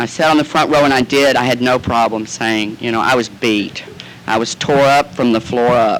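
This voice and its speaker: Over noticeable background noise, a man with an American accent speaks at a moderate pace and medium pitch with fairly even intonation. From Southern United States. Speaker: actor and comedian. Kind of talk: recovery meeting talk. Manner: campy, comic storytelling.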